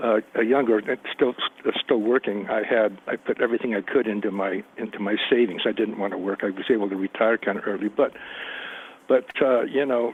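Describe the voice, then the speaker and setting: Through noticeable background noise, a man at medium pitch talks at a fairly quick pace with fairly even intonation. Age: 70s. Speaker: caller, retiree. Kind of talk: phone-in question. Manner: halting; calm.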